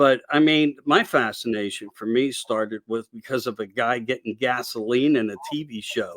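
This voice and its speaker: A man with a Pennsylvania accent talks at medium pitch with hardly any pauses. The recording is very clean, with a silent background and a dry, close sound free of echo. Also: moderate pace. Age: old. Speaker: radio show host. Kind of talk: casual interview chat. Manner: rambling animated.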